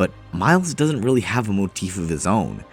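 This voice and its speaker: With music playing behind him, a man speaks in very wide pitch swings. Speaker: video game reviewer. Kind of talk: video essay narration.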